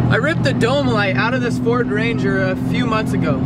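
A man talks over loud background noise. His voice sounds dry, with no echo. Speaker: vlogger. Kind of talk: casual vlog chat. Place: car.

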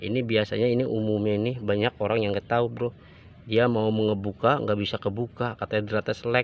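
A man's fairly low, flat, monotone voice at a fairly quick pace, dry with no echo over light background noise. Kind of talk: tutorial. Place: open country. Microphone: phone near.

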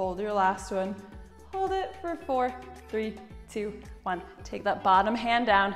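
A woman at a moderate pace, with faint music in the background. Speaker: fitness instructor. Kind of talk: workout instruction.

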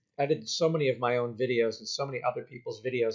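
Fairly even intonation from a man, with a quiet background. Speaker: university lecturer. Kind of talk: lecture to students. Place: home room. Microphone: webcam.

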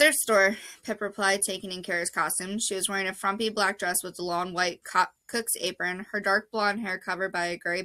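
The intonation holds fairly even. It comes in a natural reading voice.

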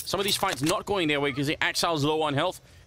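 There is noticeable background noise behind a man whose pitch is fairly high. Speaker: esports caster. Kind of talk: live commentary. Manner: animated.

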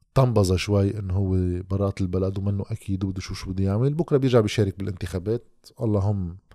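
A man talks at a fairly quick pace with hardly any pauses and fairly even intonation, his tone dark and mellow. The sound is dry with no echo against a quiet background. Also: fairly low pitch for a man. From Lebanon. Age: 30s. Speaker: political commentator. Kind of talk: monologue commentary. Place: home room. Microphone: studio mic.

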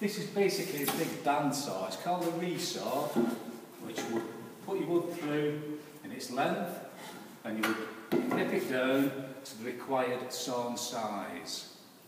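A man talks at a fairly slow pace with long, frequent pauses. Loud background noise and audible room echo fill the recording. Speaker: woodwork instructor. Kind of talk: tutorial. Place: workshop. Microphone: camera far.

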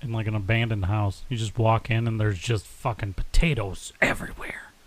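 In an American accent, a man with a normal speaking voice talks at a fairly quick pace, medium in pitch with ordinary pitch variation. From United States. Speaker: podcast co-host. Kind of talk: casual chat.

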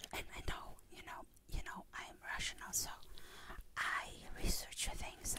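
Whispering, a woman speaks at a very slow pace. She leaves long, frequent pauses. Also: big swings in loudness. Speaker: ASMR creator. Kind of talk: ASMR personal talk. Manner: whispered; chewing gum while speaking. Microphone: studio mic.

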